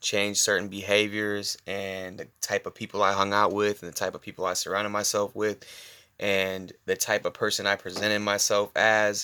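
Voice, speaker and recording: A quiet man, fairly low-pitched, with a bright, sharp tone, monotone, flat intonation and a moderate pace, on a very clean recording with a silent background. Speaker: personal trainer. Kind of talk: casual monologue. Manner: halting.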